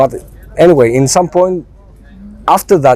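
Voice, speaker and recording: A man with a Greek accent at fairly high pitch, fairly quick pace and ordinary pitch variation, amid noticeable background noise. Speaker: band member, singer in a Greek band. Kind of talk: interview.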